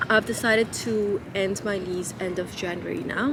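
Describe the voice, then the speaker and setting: A woman at a medium pitch speaks at a moderate pace, with noticeable background noise and audible room echo. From Nepal (Kathmandu). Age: 30s. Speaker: lifestyle vlogger. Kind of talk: casual chat.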